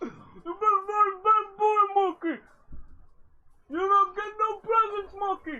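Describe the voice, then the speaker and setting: A put-on character voice, extremely high in pitch, at a fairly slow pace with long, frequent pauses. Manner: jolly, mocking.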